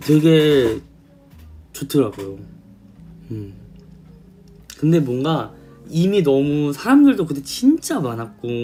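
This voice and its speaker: Over music in the background, a man speaks at a very slow pace with long, frequent pauses. His loudness swings widely. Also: fairly high pitch for a man. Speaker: K-pop idol singer. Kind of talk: casual storytelling to camera.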